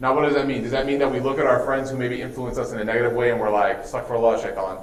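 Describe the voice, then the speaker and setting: An American accent, with noticeable background noise and audible room echo. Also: man. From US Midwest, Chicago. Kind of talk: religious talk to students. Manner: casual, conversational.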